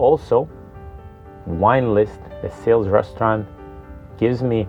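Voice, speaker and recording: A man with a Serbian accent at a medium pitch, fairly slow and with ordinary pitch variation, over music in the background. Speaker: restaurant co-founder and general manager. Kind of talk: personal profile talk.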